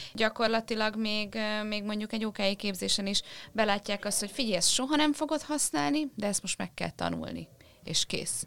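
Here is an ordinary speaking voice from a woman at a moderate pace. Her pitch is fairly high, with lively intonation. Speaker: podcast co-host. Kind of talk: casual interview.

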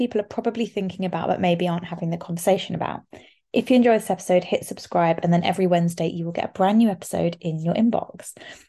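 A woman's put-on character voice, husky, raspy and hoarse, at medium pitch with fairly even intonation, delivered very fast over a quiet background

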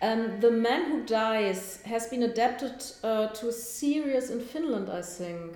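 A woman with a German accent speaks at a fairly slow pace with hardly any pauses, her fairly high pitch varying in an ordinary way, amid noticeable background noise and audible room echo. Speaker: book podcast host. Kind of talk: interview. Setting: at a literary festival.

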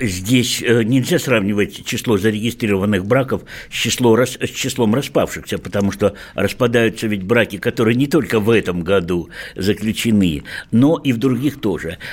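Speaking at a moderate pace, a man uses a plain, everyday voice at medium pitch with ordinary pitch variation. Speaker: sexologist. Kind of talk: radio talk show discussion. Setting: studio.

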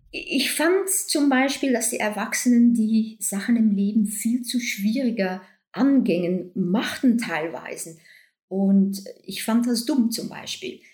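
Speaking very slowly, a woman uses a fairly high pitch with very wide pitch swings. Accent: Dutch. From Belgium (Flanders). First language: Dutch (speaking German). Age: 60s. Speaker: doctor and author. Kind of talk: casual interview. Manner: laughs a lot.

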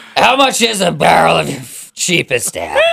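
A man speaks at a moderate pace. He uses a put-on character voice. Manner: gargling, comical.

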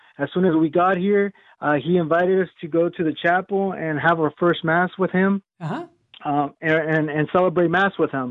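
With an American accent, a man talks at a moderate pace in a high pitch, his intonation fairly even. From Southern California. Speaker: caller. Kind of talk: phone-in call. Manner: halting.

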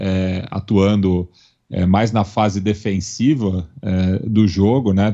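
A fairly low-pitched man with a dark, mellow tone over a quiet background. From Brazil, São Paulo. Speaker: podcast network representative and football commentator. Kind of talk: casual chat. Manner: halting, with frequent fillers.

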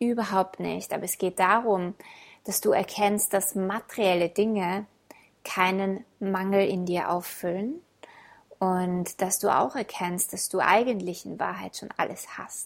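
With an ordinary speaking voice, a woman talks at a fairly slow pace and medium pitch, her intonation fairly even but her loudness swinging widely. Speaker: podcast host and self-love coach. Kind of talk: guided meditation. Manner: slow, calm, soothing, gentle pacing with pauses; warm, intimate, addressing listener as du.

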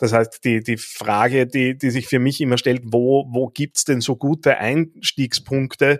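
A man's medium-pitched, monotone voice with flat intonation, fairly slow and with hardly any pauses, in a dry, close sound with no echo. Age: 40s. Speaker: podcast host and coach. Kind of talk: interview conversation. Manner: hesitant with fillers and repetitions.

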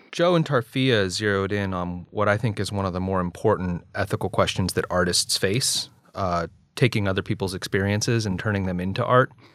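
On a very clean recording with a silent background, a man with an ordinary speaking voice talks fairly quickly at a fairly low pitch, with ordinary pitch variation. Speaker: podcast host, ethics scholar. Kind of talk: scripted podcast narration.

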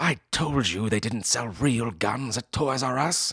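A man puts on a raspy, hissing character voice at a medium pitch, talking at a fairly slow pace. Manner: hissing, sharp.

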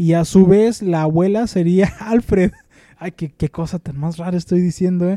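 A man's high voice with a dark, mellow tone, fairly even intonation and a moderate pace, in a dry, close sound with no echo. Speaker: podcast co-host. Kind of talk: casual chat.

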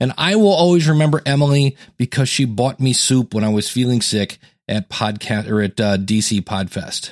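A normal speaking voice from a man at medium pitch, with lively intonation, a moderate pace, and a dry, close sound with no echo. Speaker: podcast host and coach. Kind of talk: podcast interview and listener feedback segments.

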